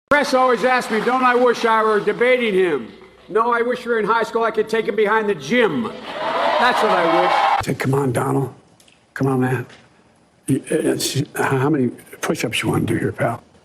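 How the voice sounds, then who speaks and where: Against noticeable background noise, a man talks at a fairly quick pace with very wide pitch swings and very even loudness. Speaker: president. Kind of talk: campaign speech.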